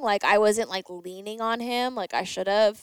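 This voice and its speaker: Dry and close with no echo, on a very clean recording with a silent background, a woman talks in an animated tone at a fairly slow pace and fairly high pitch. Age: 30s. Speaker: fitness podcast host and trainer. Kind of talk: casual chat.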